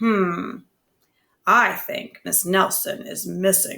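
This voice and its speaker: This is a put-on character voice, raspy and at a middle pitch. It moves at a very slow pace. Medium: read story. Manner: slow, ponderous.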